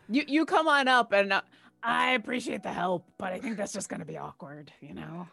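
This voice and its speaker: A female-sounding, raspy put-on character voice speaks at a moderate pace and a medium pitch. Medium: actual play. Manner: earnest, casual.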